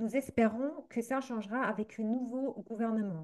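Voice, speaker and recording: The speaker has a German accent and keeps a moderate pace. Pitch rises and falls in an ordinary way. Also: woman, quiet background. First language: German (speaking French). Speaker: association representative, activist. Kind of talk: reading aloud a prepared statement. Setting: recorded video. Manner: halting, careful.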